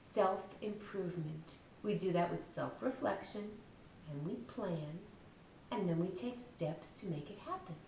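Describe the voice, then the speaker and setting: Amid noticeable background noise, a woman of medium pitch speaks at a fairly slow pace with ordinary pitch variation. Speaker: children's book author reading her story aloud. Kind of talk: explaining the story's lesson to children.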